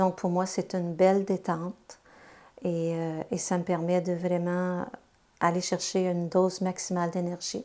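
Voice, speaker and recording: A woman's fairly low, dark, mellow voice in a monotone, flat delivery at a fairly slow pace, on a very clean recording with a silent background. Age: 60s. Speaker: retired translator and amateur painter. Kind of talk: interview testimony.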